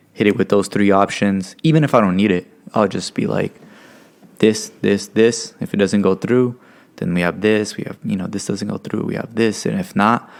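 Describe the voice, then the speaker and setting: A man's fairly low voice with a Californian accent, moderate pace and fairly even intonation. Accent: Californian American English. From Stockton, California. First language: Spanish. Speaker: podcast co-host. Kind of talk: casual chat. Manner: casual, filler-heavy.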